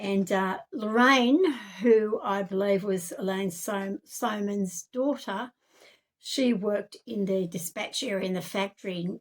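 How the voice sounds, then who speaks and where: A woman with an Australian accent speaks fairly slowly at a medium pitch with ordinary pitch variation. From Australia, Campbelltown NSW. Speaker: self-made video narrator. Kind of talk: personal testimony monologue. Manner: halting, many fillers.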